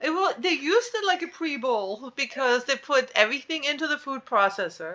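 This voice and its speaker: A woman's raised, projected voice with a German accent, high pitch, very wide pitch swings, a bright, sharp tone, and a moderate pace. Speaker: podcast co-host. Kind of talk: casual chat. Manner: animated.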